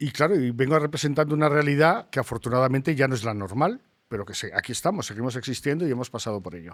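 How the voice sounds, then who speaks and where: On a very clean recording with a silent background, a man races along very fast with hardly any pauses, his medium pitch carrying lively intonation and big swings in loudness. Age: 60s. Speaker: activist. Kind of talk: podcast conversation.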